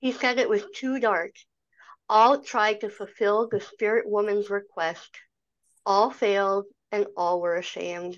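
Against a quiet background, the voice moves at a fairly slow pace with ordinary pitch variation and long, frequent pauses. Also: woman. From Canada. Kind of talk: virtual meeting presentation. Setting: video call. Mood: calm and reflective. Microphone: video call.

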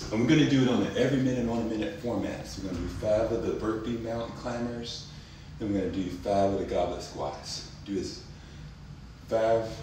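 At a fairly quick pace, a man talks with ordinary pitch variation, with audible room echo and light background noise. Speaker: fitness instructor. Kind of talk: tutorial. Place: home room.

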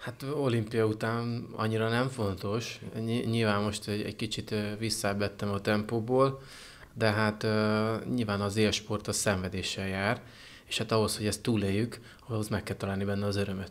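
Intonation here is monotone and flat. The man keeps to a moderate pace. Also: fairly low pitch for a man. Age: 30s. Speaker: paratriathlete. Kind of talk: interview. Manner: halting. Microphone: handheld.

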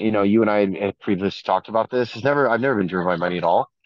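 A man with an American accent speaks at a fairly low pitch with ordinary pitch variation. The sound is dry with no echo and a quiet background. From Northern Virginia, US; Virginia. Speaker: crypto entrepreneur and asset manager; interview guest. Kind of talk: casual chat. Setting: video call.

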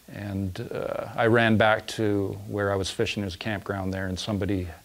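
This is a man speaking. His pitch is fairly low. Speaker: interviewee. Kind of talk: interview answer. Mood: earnest, reflective storytelling. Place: studio. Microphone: lapel.

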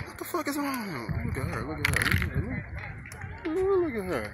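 Loud background noise runs through the clip. The man speaks at a moderate pace. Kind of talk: casual vlog chat. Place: open country. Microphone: phone near.

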